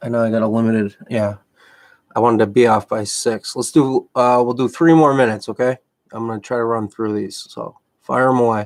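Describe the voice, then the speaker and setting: A man with a Massachusetts accent speaks at a fairly quick pace with fairly even intonation. The sound is dry and close with no echo. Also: medium pitch for a man. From Massachusetts, outside Boston. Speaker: MMA coach and commentator. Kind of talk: live stream Q&A. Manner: casual, halting.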